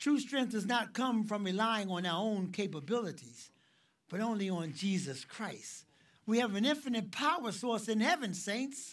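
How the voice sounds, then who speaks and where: On a very clean recording with a silent background, a man with a high-pitched voice speaks at a moderate pace with lively intonation. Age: 60s. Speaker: ministry director and preacher. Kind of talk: sermon.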